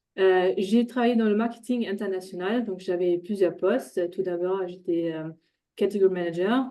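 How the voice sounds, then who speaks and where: With a slight German accent, a woman speaks using fairly even intonation. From Germany, Ruhr area (Dortmund). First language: German (speaking French). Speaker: intercultural trainer and coach. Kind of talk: webinar presentation. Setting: online webinar. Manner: hesitant, many fillers.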